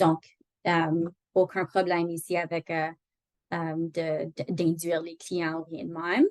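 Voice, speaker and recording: In a dry, close sound with no echo, a woman speaks very slowly at a fairly low pitch, with monotone, flat intonation, big swings in loudness and long, frequent pauses. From Northern Ontario. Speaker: employment lawyer. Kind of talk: online training lecture. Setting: video call. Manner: halting, many fillers.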